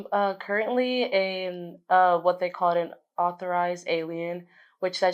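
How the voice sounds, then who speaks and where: The recording is very clean with a silent background. A woman speaks with a fairly low pitch. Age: 20s. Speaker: college student. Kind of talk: interview.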